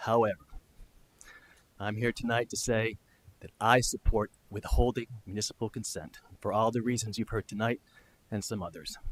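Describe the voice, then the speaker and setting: Soft-spoken and at a moderate pace, the speaker uses fairly even intonation with big swings in loudness and long, frequent pauses, in a dry, close sound with no echo. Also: man, medium pitch for a man. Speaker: public commenter, former town council member. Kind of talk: public comment at council meeting. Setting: council chamber with audience. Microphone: too quiet at first.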